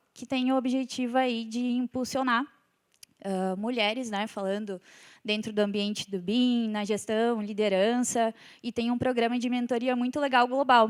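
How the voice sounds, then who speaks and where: A woman speaks with a southern Brazilian accent and fairly even intonation. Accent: gaúcho Brazilian Portuguese. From southern Brazil (Rio Grande do Sul). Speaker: civil engineer and company executive. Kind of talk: conference talk. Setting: stage with audience.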